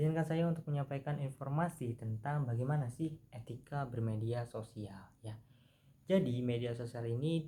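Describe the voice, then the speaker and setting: A man's somewhat breathy, dark and mellow voice at medium pitch, with ordinary pitch variation and a fairly quick pace. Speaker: university student. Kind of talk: improvised class presentation. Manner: casual, halting with fillers.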